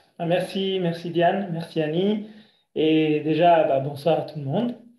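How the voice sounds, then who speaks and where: At a fairly slow pace, a man with a high pitch speaks with fairly even intonation. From Italy. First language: Italian (speaking French). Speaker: breathing coach. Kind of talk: lecture. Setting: video call.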